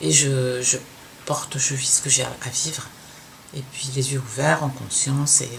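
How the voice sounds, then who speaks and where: Speech comes at a fairly slow pace with long, frequent pauses, over noticeable background noise. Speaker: sewing youtuber, former fashion designer. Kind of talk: casual podcast talk. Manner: halting, hesitant.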